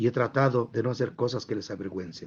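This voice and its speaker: The delivery comes at a moderate pace. The voice sounds somewhat breathy. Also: man. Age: 70s. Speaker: journalist and news anchor. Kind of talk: interview talk. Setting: live stream.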